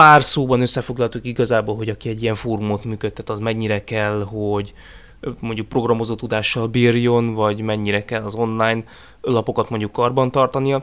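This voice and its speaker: On a very clean recording with a silent background, a man speaks at a medium pitch and fairly quick pace in a monotone, flat way. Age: 20s. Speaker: podcast host and forum roleplay moderator. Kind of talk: casual chat.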